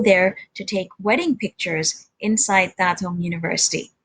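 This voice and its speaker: This woman's voice is somewhat breathy, with a Sindhi accent. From India, grew up partly in Germany and Nigeria. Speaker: interpreter. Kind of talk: presentation talk.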